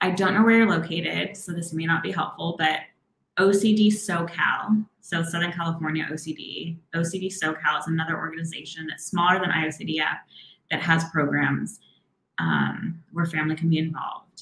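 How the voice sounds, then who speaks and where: A woman with a plain, everyday voice talks at a fairly low pitch and a fairly quick pace. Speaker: therapist. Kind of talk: live Q&A advice. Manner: warm, encouraging.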